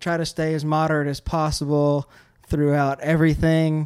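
A man talks with a Louisiana accent. His pitch sits fairly high. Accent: Louisiana Southern. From central Louisiana. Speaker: podcast host. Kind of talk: interview. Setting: barbershop. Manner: halting.

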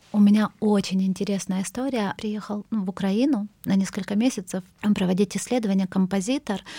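A woman with a medium-pitched, somewhat breathy voice and a dark, mellow tone speaks at a moderate pace with fairly even intonation, in a dry, close sound with no echo. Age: 40s. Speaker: cultural manager. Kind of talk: interview. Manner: halting, many fillers.

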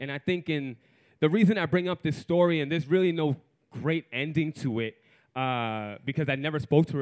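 The speaker talks at a fairly quick pace with a New York accent. Pitch variation is ordinary. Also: man. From New York City, Puerto Rican family. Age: 30s. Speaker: storyteller. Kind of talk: live storytelling.

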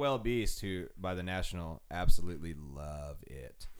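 With an American accent and ordinary pitch variation, a man speaks in a room with audible echo. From Arizona, Phoenix area. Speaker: music podcast host. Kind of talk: casual chat. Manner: animated.

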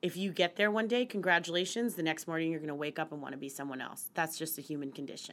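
With an American accent, a woman talks at a very fast pace with hardly any pauses. Her pitch is fairly low and varies in an ordinary way. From West Virginia and central Pennsylvania. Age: 30s. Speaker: finance journalist. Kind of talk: casual interview.

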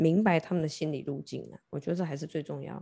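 A woman speaks with a very deep, low pitch, a dark, mellow tone, and vocal fry. Her pitch varies in an ordinary way, and the background is quiet. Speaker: tarot reader turned love board game coach. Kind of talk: casual chat.

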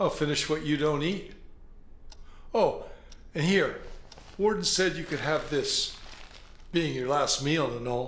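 Gruff and put-on, a man's character voice moves at a fairly slow pace with long, frequent pauses. Clear background noise runs underneath. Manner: gruff, mocking, sarcastic.

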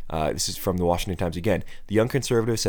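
Talking at a very fast pace, a man with an American accent uses lively intonation and a fairly low pitch. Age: 20s. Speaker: political podcast host. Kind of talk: solo political commentary.

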